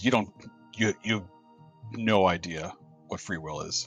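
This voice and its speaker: A man growls in a put-on character voice at a moderate pace, his pitch fairly low with ordinary variation. His loudness swings widely, and faint music plays in the background. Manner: snarling.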